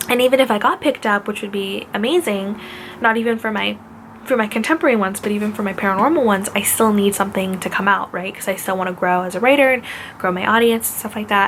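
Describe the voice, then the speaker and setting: Over noticeable background noise, a woman with a medium pitch talks at a very fast pace. Her loudness swings widely while her pitch varies in an ordinary way. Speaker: author vlogger. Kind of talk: casual chat.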